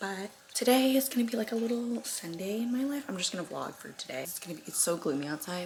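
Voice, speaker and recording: A woman speaks at a moderate pace with very wide pitch swings, and noticeable background noise can be heard. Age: 20s. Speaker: lifestyle vlogger. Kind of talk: casual vlog.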